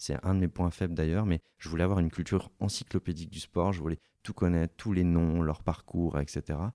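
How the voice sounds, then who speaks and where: Very deep and low, a man's voice carries a dark, mellow tone and fairly even intonation. The sound is dry and close with no echo, on a very clean recording with a silent background. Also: fairly quick pace. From France, Hautes-Alpes (born in Lille). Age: 30s. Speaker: sports journalist. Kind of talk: interview. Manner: halting.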